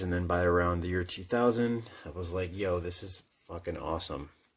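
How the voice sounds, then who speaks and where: Speaking with a Midwestern accent, a man keeps a moderate pace and ordinary pitch variation. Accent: Midwest. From US Midwest. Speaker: comic book collector and YouTuber. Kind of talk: casual monologue. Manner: halting.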